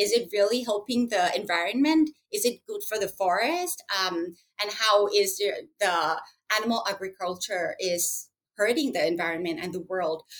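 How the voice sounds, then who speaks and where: A woman speaks with a Thai accent at a medium pitch and a moderate pace. Her intonation is lively. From Thailand. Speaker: school owner and plant-based advocate. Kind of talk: interview. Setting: remote call. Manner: halting, with fillers.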